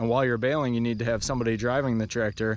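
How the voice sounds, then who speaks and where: A man's fairly even intonation in a dry sound with no echo. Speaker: painter vlogger. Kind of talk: casual vlog chat. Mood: relaxed, reminiscing. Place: open country. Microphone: phone near.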